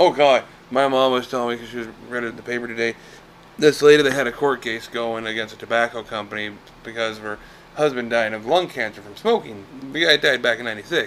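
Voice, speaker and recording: There is noticeable background noise behind this man. He speaks at a very fast pace and a medium pitch. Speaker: podcast co-host. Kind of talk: casual chat. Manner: animated.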